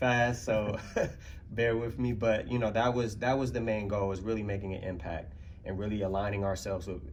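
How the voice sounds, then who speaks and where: Somewhat breathy, a man speaks in a fairly low pitch. Room echo is audible. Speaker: community arts partner. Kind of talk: conference panel presentation. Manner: fast.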